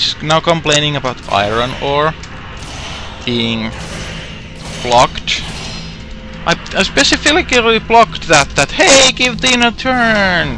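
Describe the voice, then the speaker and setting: Over music in the background, a man with a fairly high pitch speaks at a very slow pace with very wide pitch swings. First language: not English. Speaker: gaming streamer. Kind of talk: live game commentary. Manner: halting with self-corrections; a little loud.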